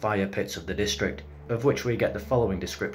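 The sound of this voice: Pitch rises and falls in an ordinary way. The delivery is an unforced reading voice.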